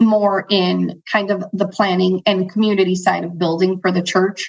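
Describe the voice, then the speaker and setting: A woman speaks at a fairly slow pace in medium pitch with fairly even intonation. It is an unremarkable speaking voice against a quiet background. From Chicago, US, Central American parents. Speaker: financial advisor. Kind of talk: interview conversation.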